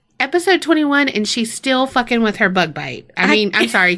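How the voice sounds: With a bright, sharp tone and vocal fry, a woman talks at a moderate pace, her pitch making very wide swings.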